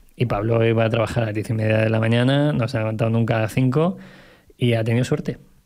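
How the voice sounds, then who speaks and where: A man races along at a very fast pace, his pitch varying in an ordinary way, with a quiet background. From Segovia, Spain; Spain. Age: 30s. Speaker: entrepreneur; podcast guest. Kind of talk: casual chat. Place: studio. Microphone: studio mic.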